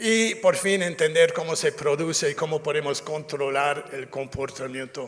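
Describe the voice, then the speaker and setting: Ordinary pitch variation from a man with an English accent, against noticeable background noise. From North America (US). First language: English (speaking Spanish). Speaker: safety culture consultant. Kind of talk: lecture. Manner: halting, many fillers and self-corrections.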